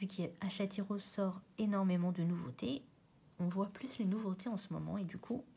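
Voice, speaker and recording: A woman's somewhat breathy voice at medium pitch, dark and mellow in tone, at a moderate pace. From Réunion. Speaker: colouring hobbyist youtuber. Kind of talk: casual chat. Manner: halting.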